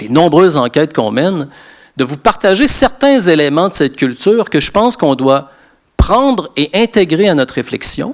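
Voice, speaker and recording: A man speaks at a moderate pace in a high pitch, with very wide pitch swings. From Quebec. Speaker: sociologist and lecturer. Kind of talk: lecture. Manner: hesitant repetitions.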